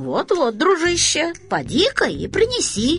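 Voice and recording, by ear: Put-on character voice from a woman, high and fairly bright, with very wide pitch swings at a fairly slow pace.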